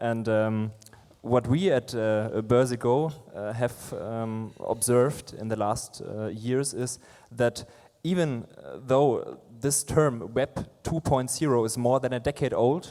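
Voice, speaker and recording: Speaking at a very slow pace in a Franconian accent, a man has a medium pitch, a dark, mellow tone and ordinary pitch variation. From Franconia, Germany. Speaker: fintech product manager, panelist. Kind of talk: panel discussion. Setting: stage with audience. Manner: halting, many fillers.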